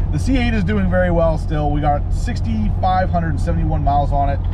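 A man talks fairly quickly as noticeable background noise carries on behind him. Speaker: car vlogger driving. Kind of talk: casual vlog chat. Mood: excited, upbeat.

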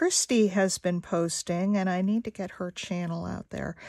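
A woman speaks at a moderate pace. The background is quiet and the sound is dry with no echo. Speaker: craft artist and video maker. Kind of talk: craft tutorial chat while working. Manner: casual, hesitant; quiet when concentrating. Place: home room.

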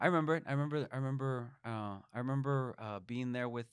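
A man with a Spanish accent, over a quiet background. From Mexico. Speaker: state legislator; guest. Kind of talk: interview; interview answer. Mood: reflective, heartfelt. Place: studio. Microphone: studio mic.

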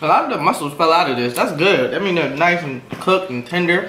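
Audible room echo and light background noise surround a man as he talks. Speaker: food video host. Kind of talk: casual mukbang chat. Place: kitchen. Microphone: camera far.

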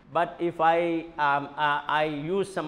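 This is a man speaking. His voice has a high pitch. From India. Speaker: university vice chancellor and professor; professor. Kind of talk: lecture. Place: classroom. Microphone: lapel.

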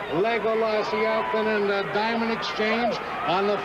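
A man speaks at a moderate speed amid noticeable background noise. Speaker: race announcer. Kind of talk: commentary.

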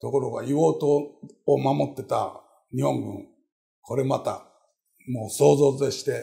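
Against a quiet background, a man speaks at a very slow pace, pausing long and often. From Japan, Osaka. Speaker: professor. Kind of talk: interview. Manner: animated. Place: office. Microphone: lapel.

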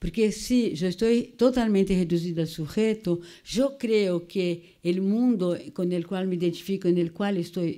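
Over a quiet background, a woman's dark, mellow voice moves at a fairly slow pace with lively intonation. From Brazil. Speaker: psychoanalyst and cultural critic; seminar lecturer. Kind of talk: lecture. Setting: museum auditorium with audience. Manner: code-switching between Portuguese and Spanish. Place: classroom. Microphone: podium.

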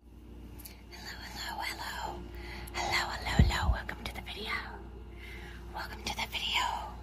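The speech moves at a fairly slow pace, broken by long, frequent pauses. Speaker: ASMR creator. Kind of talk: casual ASMR unboxing talk to camera. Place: home room.

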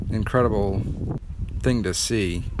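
A man is speaking in a dry recording with no echo. Noticeable background noise can be heard. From New Orleans, Louisiana. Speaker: travel vlogger. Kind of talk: casual vlog narration. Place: open country. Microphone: phone near.

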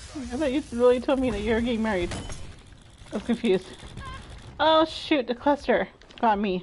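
Over light background noise, a woman with a high pitch speaks with long, frequent pauses. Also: ordinary pitch variation, fairly quick pace. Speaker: video game streamer. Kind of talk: live gaming stream chat. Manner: animated. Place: home room.

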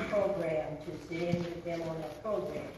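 A woman's voice with strong room echo and light background noise. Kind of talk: church announcements. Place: church. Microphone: podium.

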